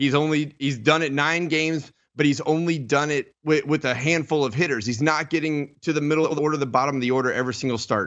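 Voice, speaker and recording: Fairly quickly and with ordinary pitch variation, a man speaks in an unremarkable speaking voice pitched fairly high. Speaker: former baseball pitcher and analyst. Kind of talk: casual sports talk chat. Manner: relaxed, conversational.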